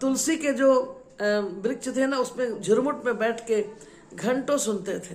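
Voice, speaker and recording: Background noise is noticeable on this clip. A woman speaks at a high pitch with ordinary pitch variation. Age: 60s. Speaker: religious storyteller. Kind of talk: devotional storytelling. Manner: repetitive, emotive.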